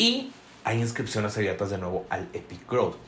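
Amid noticeable background noise, a man speaks in an animated tone with a Mexican accent. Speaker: podcast host and business coach. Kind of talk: motivational talk.

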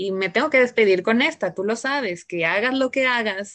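A woman with a Mexican accent speaks at medium pitch with ordinary pitch variation against a quiet background. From Mexico, Jalisco. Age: 30s. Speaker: podcast co-host. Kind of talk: casual chat.

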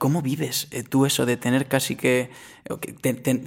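This man's medium-pitched voice carries a monotone, flat intonation. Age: 20s. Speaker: podcast host, music interviewer. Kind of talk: casual interview.

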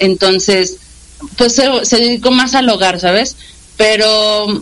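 Her voice sits fairly high, and this woman's pitch varies in an ordinary way. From Mexico City. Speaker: radio station director. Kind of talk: interview. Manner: halting.

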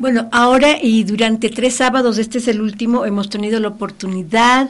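A woman speaks at a moderate pace with a fairly high pitch. Her voice is somewhat breathy, with fairly even intonation. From Ecuador. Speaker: children's author. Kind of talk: radio interview.

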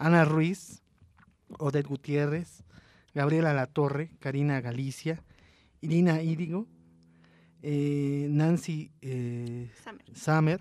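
Pausing long and often, a man with a fairly high pitch talks very slowly with fairly even intonation. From Mexico City. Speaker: radio host. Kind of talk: radio interview and event announcements.

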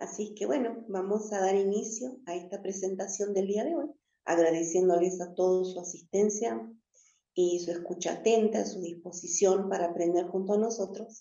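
Audible room echo surrounds a woman's voice. Her pitch is medium, with ordinary variation, at a moderate pace. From northern Argentina, Jujuy. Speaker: spiritual teacher. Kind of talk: spiritual teaching talk. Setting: live stream.

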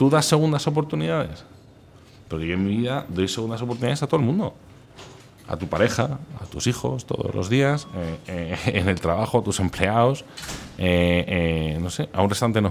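Leaving long, frequent pauses, a man speaks in a fairly low pitch that swings very widely. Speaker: food instagrammer. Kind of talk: interview. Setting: restaurant. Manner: animated; fast.

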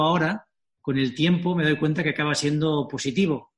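Fairly high in pitch, a somewhat breathy male voice with ordinary pitch variation. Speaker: company founder and author. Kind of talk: interview.

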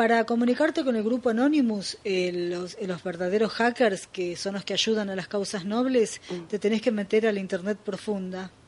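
In a Rioplatense accent, a woman talks with hardly any pauses. Her pitch is medium, with ordinary variation. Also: moderate pace. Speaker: radio host. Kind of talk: casual chat.

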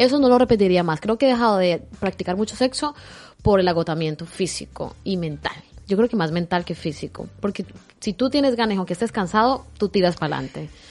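A woman speaks in a normal speaking voice at medium pitch. Her pace is fairly quick and her intonation lively. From Colombia. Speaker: podcast host. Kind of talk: casual interview.

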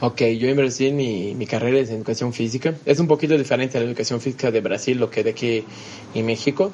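A man's medium-pitched voice races at a very fast pace while his pitch varies in an ordinary way. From Brazil. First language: Portuguese (speaking Spanish). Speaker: business consultant. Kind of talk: interview. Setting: at the guest's home.

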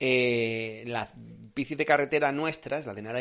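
A man with a medium-pitched voice speaks in an animated tone with lively intonation. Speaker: cycling podcast host. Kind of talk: live stream Q&A chat.

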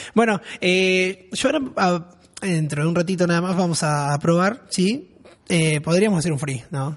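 Over noticeable background noise, a man speaks at a high pitch and a fairly slow pace. His tone is animated, with ordinary pitch variation. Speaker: radio podcast host. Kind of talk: casual chat. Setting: studio.

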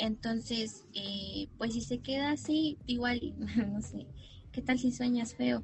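A woman speaking at a very slow pace amid noticeable background noise. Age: 20s. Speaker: university student and environmental advocate. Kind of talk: casual interview chat.

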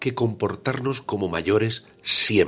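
Very slowly, a man speaks in a somewhat breathy voice at a medium pitch. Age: 50s. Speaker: radio co-host. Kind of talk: interview. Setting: radio studio.

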